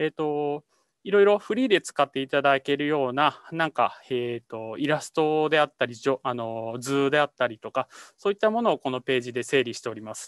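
Dry and close with no echo over a quiet background, a man talks at a fairly quick pace with a fairly high pitch. His intonation is lively and his loudness swings widely. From Japan, Iwate Prefecture. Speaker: climate adaptation researcher. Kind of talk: lecture with live demo. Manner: halting, many fillers.

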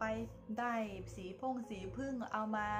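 Over noticeable background noise, a woman speaks in a fairly high pitch. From Thailand, Chachoengsao province. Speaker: lifestyle vlogger, tour guide. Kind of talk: casual ghost-story telling to camera. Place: home room. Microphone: phone near.

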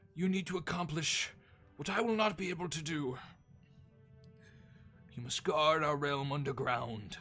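A man speaks with lively intonation while faint music plays in the background. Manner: solemn, awkward.

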